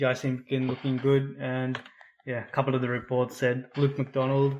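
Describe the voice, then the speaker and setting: At a moderate pace, a man speaks with an Australian accent. His medium pitch stays monotone and flat. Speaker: football podcast co-host. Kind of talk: casual chat. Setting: podcast recording. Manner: trying to speak louder.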